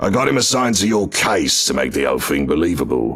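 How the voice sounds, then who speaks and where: Over music in the background, a man puts on a raspy character voice at a fairly low pitch. He talks at a very fast pace with very even loudness. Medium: audio drama. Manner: gruff, crude, defensive.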